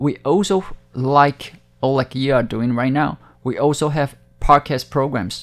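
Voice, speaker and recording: A man with a Taiwanese accent speaks at a fairly high pitch and a fairly slow pace, with ordinary pitch variation. The recording is very clean, with a silent background. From Taiwan, Hakka community. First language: Hakka / Mandarin. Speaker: TV station director. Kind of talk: interview.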